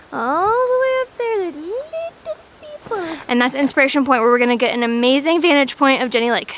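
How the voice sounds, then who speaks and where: Hardly pausing, a woman with an American accent and high pitch talks at a fairly quick pace with very wide pitch swings, over noticeable background noise. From US, Florida. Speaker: travel vlogger. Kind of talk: casual travel vlog commentary. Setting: outdoors on a hiking trail. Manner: whispering because of crowds.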